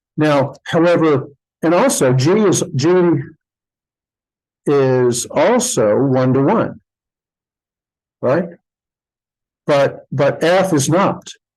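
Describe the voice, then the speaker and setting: Speaking at a very slow pace with long, frequent pauses, a man uses lively intonation, a fairly high pitch and very even loudness. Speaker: math lecturer. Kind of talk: lecture. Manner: halting.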